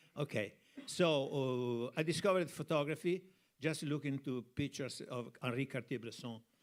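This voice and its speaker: A man with an Italian accent speaks at a medium pitch, his pitch varying in an ordinary way. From Italy, Tuscany (Piombino). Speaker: cinematographer. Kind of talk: interview on stage. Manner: halting.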